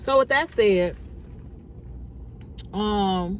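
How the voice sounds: Pitch moves in an ordinary way. Delivery is very slow. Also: woman, medium pitch for a woman.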